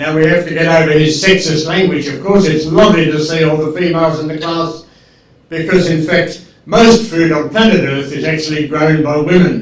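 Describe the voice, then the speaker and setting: A man with an Australian accent and fairly high pitch, fairly even intonation at a moderate pace, audible room echo and noticeable background noise. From Australia, Tasmania. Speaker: agricultural expert. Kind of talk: lecture. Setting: video call.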